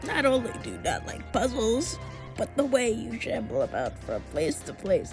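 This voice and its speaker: A put-on character voice moves at a moderate pace over loud music in the background. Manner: goofy, theatrical, boastful.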